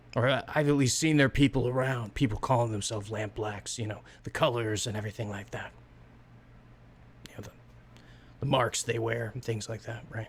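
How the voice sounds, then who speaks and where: In a put-on, raspy character voice, someone speaks at a fairly quick pace with fairly even intonation and long, frequent pauses, over clear background noise. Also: man, medium pitch for a man. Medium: actual play. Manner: rambling, hesitant, filler-heavy.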